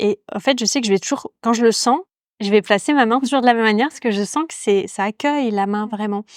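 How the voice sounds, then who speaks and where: In a very clean recording with a silent background, a woman talks very fast at a fairly high pitch. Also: dry, close sound with no echo. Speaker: podcast host, yoga teacher. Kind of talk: casual interview conversation. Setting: ceramics workshop. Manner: hesitant, many fillers.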